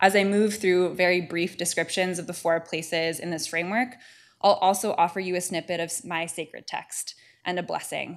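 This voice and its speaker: A woman with an American accent and a plain, everyday voice, fairly low in pitch, at a fairly quick pace with fairly even intonation and big swings in loudness, in a very clean recording with a silent background. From California. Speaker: divinity student presenting a paper. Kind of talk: paper presentation.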